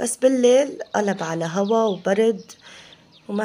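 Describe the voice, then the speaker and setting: A woman's medium-pitched voice at a fairly slow pace, over noticeable background noise. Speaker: home cooking vlogger. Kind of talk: casual vlog chat.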